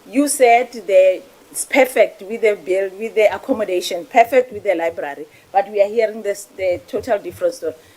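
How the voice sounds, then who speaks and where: Against noticeable background noise, a woman with a medium pitch and ordinary pitch variation speaks at a fairly quick pace with big swings in loudness. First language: not English (Setswana/Sepedi). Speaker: parliamentary committee member. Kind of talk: parliamentary oversight questioning. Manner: assertive, interrupting.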